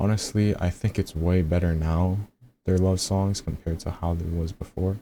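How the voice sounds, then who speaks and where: Soft-spoken and dark, mellow in tone, the voice keeps a fairly even intonation at a fairly slow pace in a very clean recording with a silent background. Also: man. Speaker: music reaction youtuber. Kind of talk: album review commentary. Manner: casual.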